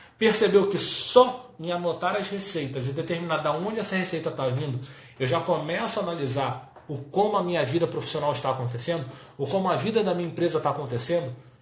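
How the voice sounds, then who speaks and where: A man's high voice, lively in intonation and fairly quick in pace, with audible room echo and noticeable background noise. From Brazil, Rio de Janeiro. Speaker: business coach for health professionals. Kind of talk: live-stream talk.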